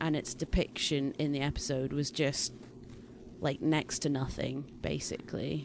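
A woman with a slight Scottish accent speaks at a fairly slow pace. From Scotland. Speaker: podcast co-host. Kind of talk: casual chat podcast.

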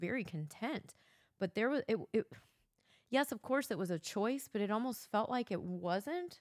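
A woman with a plain, everyday voice speaks at a moderate pace with a fairly high pitch and ordinary pitch variation. The recording is very clean with a silent background, and the sound is dry and close with no echo. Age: 40s. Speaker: host's wife. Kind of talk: casual chat. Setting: home basement.

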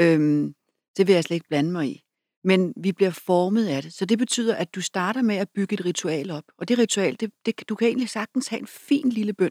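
With a dark, mellow tone, a woman at medium pitch speaks with lively intonation. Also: moderate pace. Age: 50s. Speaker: author and public speaker. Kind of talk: interview conversation.

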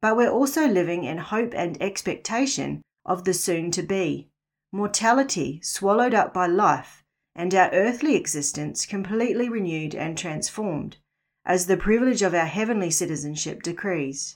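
On a very clean recording with a silent background, a woman with a New Zealand accent speaks at a moderate pace, her medium pitch carried by lively intonation. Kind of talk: scripted narration.

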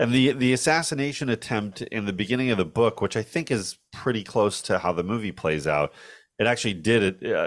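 At a moderate pace, a man talks on a very clean recording against a silent background. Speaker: film podcast host. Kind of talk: casual chat.

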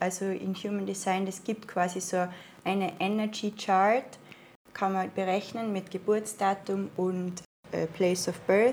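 A woman with an Austrian accent speaks at a medium pitch and a fairly slow pace. Her intonation is monotone and flat. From Austria, Tyrol (Innsbruck). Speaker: spiritual healing practitioner. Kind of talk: casual interview. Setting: in person, living room.

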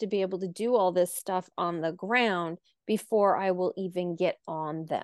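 At a fairly slow pace, a woman with an American accent speaks in a normal speaking voice at a medium pitch with fairly even intonation, the sound dry and close with no echo against a quiet background. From US Midwest, North Dakota. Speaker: horse trainer and coach. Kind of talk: interview.

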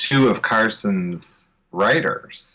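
A man with an American accent and a bright, sharp tone speaks with very wide pitch swings. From Ohio, US Midwest. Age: 40s. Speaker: author. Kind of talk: interview.

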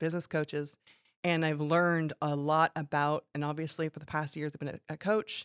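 A woman with an American accent speaks at a moderate pace, in a very deep, low pitch and a monotone, flat intonation. The recording is very clean with a silent background, and the sound is dry and close with no echo. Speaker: business coach. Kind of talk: casual radio interview. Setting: radio studio.

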